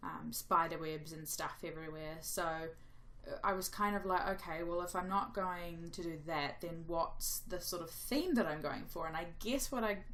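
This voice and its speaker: A woman with a fairly low voice talks through audible room echo and noticeable background noise. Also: ordinary pitch variation, moderate pace, hardly any pauses. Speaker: gaming youtuber. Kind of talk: gameplay commentary voiceover. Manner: rambling, casual.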